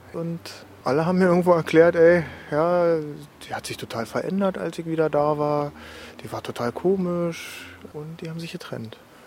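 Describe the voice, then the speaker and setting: A man's high voice at a moderate pace, with fairly even intonation, long, frequent pauses and noticeable background noise. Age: 30s. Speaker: ex-soldier, now student. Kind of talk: testimony.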